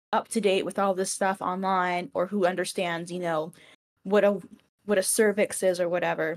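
In an American accent, a woman speaks at a moderate pace with an unremarkable speaking voice. Her pitch is medium and her intonation fairly even. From US South, Georgia. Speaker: interviewer. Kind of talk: casual interview.

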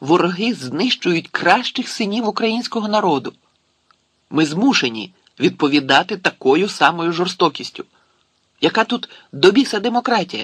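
Putting on a character voice, a man with a high pitch and a fairly bright tone with a slightly husky edge moves at a moderate pace through big pitch swings.

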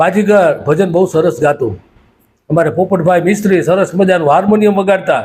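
A man speaks with a high pitch and ordinary pitch variation. His loudness stays very even. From Saurashtra, Gujarat (Surendranagar district). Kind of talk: nostalgic storytelling monologue.

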